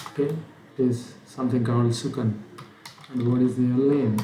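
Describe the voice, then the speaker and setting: Male voice with fairly even intonation, audible room echo and noticeable background noise. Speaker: programming instructor. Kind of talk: tutorial. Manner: hesitant, many fillers; slurred speech.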